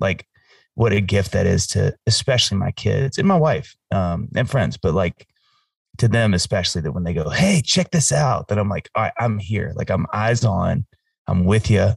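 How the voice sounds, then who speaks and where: With an American accent, a man speaks at a moderate pace in a fairly low, somewhat breathy voice with lively intonation. The sound is dry and close with no echo, over a quiet background. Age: 40s. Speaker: singer-songwriter. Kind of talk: casual chat.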